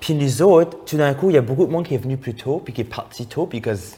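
A man speaks in an animated tone with very wide pitch swings. He sounds somewhat breathy. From Acadia, Moncton, New Brunswick. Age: 20s. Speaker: drag queen and TikTok personality. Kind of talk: casual chat.

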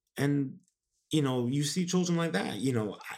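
With an ordinary speaking voice, a man talks at a fairly quick pace, his medium pitch showing ordinary variation. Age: 20s. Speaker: podcast host. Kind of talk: motivational monologue. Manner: casual with many fillers.

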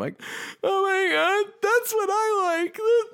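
Someone with an American accent speaks on a very clean recording with a silent background. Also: man. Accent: general American, slight New York when drunk. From New York. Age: 30s. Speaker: metal vocalist and podcast host. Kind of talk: casual chat. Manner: animated.

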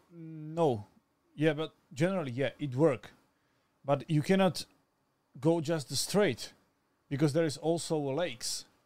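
With a Slovak accent, a man speaks at a fairly slow pace with ordinary pitch variation on a very clean recording with a silent background. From Slovakia. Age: 20s. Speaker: cameraman. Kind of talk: casual chat. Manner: halting.

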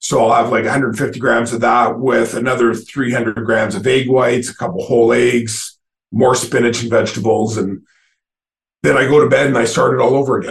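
A somewhat breathy man with a medium pitch talks at a fairly quick pace with fairly even intonation. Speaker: bodybuilder. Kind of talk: casual interview chat.

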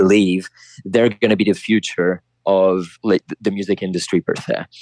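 A man with an Italian accent at a fairly quick pace, the sound dry and close with no echo. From Italy. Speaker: champion beatboxer. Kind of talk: interview. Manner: halting.

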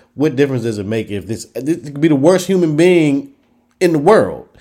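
A man with a dark, mellow tone moves through very wide pitch swings. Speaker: podcast host. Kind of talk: casual podcast banter and discussion.

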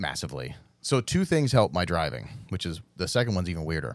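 A man's voice with vocal fry and very wide pitch swings, on a very clean recording with a silent background. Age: 40s. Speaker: drift team owner and event organizer. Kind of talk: casual chat.

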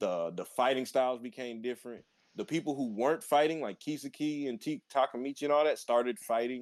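A man speaks at a fairly quick pace with medium pitch and ordinary pitch variation in an unremarkable speaking voice, on a very clean recording with a silent background. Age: 20s. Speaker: anime podcast co-host. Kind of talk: casual chat.

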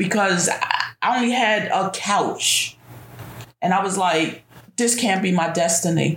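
The speaker has a normal speaking voice with an American accent. Intonation stays fairly even. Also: woman. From New York City. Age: 50s. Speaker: bank worker, grandmother. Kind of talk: personal testimony in interview.

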